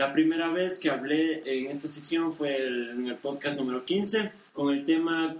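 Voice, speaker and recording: A man with a fairly high pitch speaks at a fairly slow pace with ordinary pitch variation and hardly any pauses, over noticeable background noise. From Ecuador, Guaranda area. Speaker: podcast host. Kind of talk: casual chat. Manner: nervous, halting.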